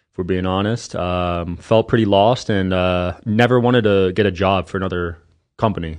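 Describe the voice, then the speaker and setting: A man speaks with a very deep, low pitch and fairly even intonation. His pace is moderate against a quiet background. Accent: American. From New Jersey, US East Coast. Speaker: entrepreneur and podcast host. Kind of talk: interview.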